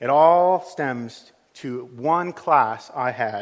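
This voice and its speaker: A man with an American accent and lively intonation, on a very clean recording with a silent background. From United States. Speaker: pastor. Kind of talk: sermon. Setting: church.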